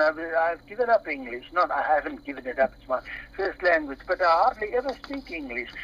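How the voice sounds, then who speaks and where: The talking goes at a moderate pace while noticeable background noise stays audible. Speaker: former teacher at a school. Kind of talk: casual chat. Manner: halting, searching for words.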